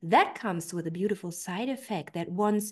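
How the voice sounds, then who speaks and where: In a German accent, a woman speaks at a medium pitch against a quiet background. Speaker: personal development coach. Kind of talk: online training talk.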